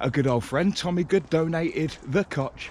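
A man at a fairly slow pace, with a dry sound, no echo and light background noise. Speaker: walking vlogger. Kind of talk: casual vlog chat. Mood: cheerful, festive. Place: open country. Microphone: phone near.

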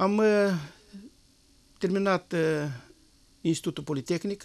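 A man at a moderate pace, with ordinary rises and falls in pitch. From Moldova, Nisporeni district; Moldova. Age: 60s. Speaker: parliamentary candidate; candidate. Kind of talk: election debate. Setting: studio. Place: studio. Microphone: lapel.

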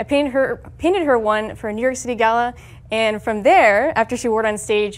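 The woman talks at a fairly quick pace with ordinary pitch variation. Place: meeting room. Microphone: lapel.

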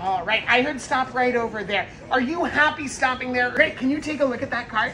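A woman talks at a fairly quick pace in a raised, projected voice. Clear music plays in the background. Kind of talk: magic trick patter to audience. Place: shop. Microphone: phone near.

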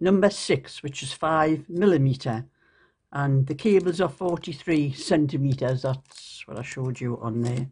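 A woman with a Geordie accent, very deep and low in pitch, somewhat breathy, at a moderate pace, with ordinary pitch variation and big swings in loudness. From northeast England. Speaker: YouTube crafter and vlogger; vlogger. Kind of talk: casual show-and-tell vlog. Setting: at home at night. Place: home room. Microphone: phone near.

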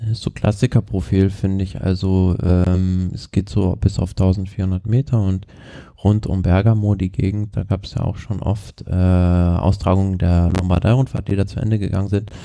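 In a dark, mellow tone, a man speaks with a very deep, low pitch and fairly even intonation. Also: moderate pace. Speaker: cycling podcast co-host. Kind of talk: casual chat. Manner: halting.

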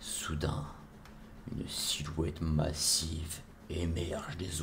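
A man with a very deep, low pitch speaks at a very slow pace in a monotone, flat intonation. Noticeable background noise is present. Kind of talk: ASMR roleplay adventure narration.

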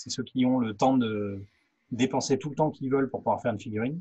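A man speaks very fast at a medium pitch, his intonation fairly even. His voice is somewhat breathy against a quiet background. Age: 40s. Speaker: professional miniature painter. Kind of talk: casual chat. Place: workshop. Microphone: studio mic.

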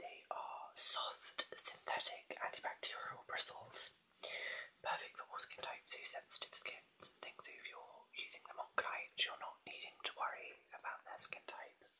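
A man whispers at a moderate pace. His loudness swings widely. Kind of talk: product demo chat, answering viewer questions. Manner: soft, hushed ASMR sales voice. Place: home room. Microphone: webcam.

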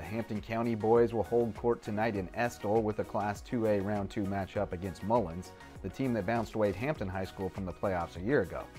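Over music in the background, a man with a fairly low pitch and ordinary pitch variation speaks at a fairly quick pace with hardly any pauses. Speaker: sports reporter. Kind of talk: local TV sports news read.

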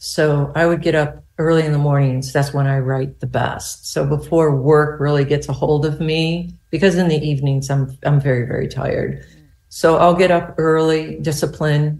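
Her voice very deep and low for a woman, with a dark, mellow tone, this somewhat breathy woman talks at a moderate pace with monotone, flat intonation and hardly any pauses. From US Southwest. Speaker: novelist. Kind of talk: casual interview.

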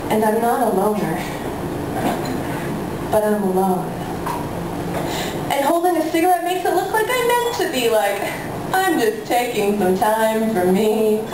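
A woman with a fairly high pitch, very wide pitch swings, a moderate pace and long, frequent pauses, amid audible room echo and noticeable background noise. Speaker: slam poet. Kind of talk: poetry slam performance. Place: cafe.

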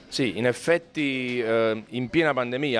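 Faint music sits in the background. Over it, a man talks with ordinary pitch variation. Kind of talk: interview answer. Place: shop. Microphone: handheld.

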